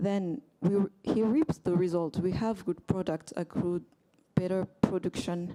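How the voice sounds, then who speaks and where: A woman's fairly slow speech in a French accent, medium in pitch with a dark, mellow tone and ordinary pitch variation, on a very clean recording with a silent background. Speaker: agricultural economist, workshop participant. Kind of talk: panel discussion contribution. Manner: hesitant, many fillers.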